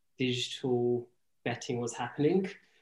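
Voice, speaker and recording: A man speaks in an English accent. His pitch is medium and his pace moderate. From England. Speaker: product manager, e-commerce guest. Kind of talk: casual podcast interview. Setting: Sydney, Australia.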